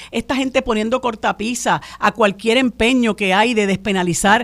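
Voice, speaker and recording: Speaking at a fairly quick pace, a woman with a fairly high pitch has an unremarkable speaking voice on a very clean recording with a silent background. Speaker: radio co-host, lawyer. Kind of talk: radio talk show discussion. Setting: radio studio.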